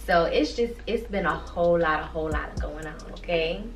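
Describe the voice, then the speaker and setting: Moderate pacing from a woman amid noticeable background noise and audible room echo. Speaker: vlogger. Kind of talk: casual chat.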